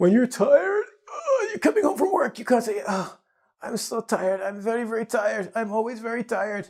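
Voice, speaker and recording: Speaking at a fairly quick pace, a man has an extremely high pitch with ordinary pitch variation. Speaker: English teacher. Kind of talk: tutorial. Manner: fast; animated.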